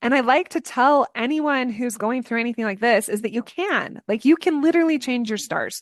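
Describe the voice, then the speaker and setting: Over a quiet background, a woman with a high pitch speaks in an animated tone with ordinary pitch variation. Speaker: entrepreneur and business coach. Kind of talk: podcast interview.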